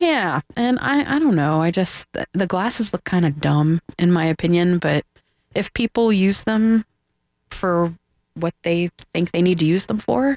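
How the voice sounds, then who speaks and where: A woman speaks in an ordinary speaking voice at a fairly low pitch and a fairly slow pace, with lively intonation. Her loudness is very even, and the sound is dry and close with no echo. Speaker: filmmaker. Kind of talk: casual radio interview. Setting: radio studio.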